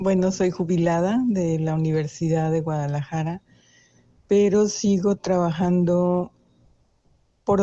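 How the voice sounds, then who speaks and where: Very slowly, a woman speaks with a fairly low pitch and fairly even intonation. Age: 60s. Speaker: retired academic and ethnomusicologist. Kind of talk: interview.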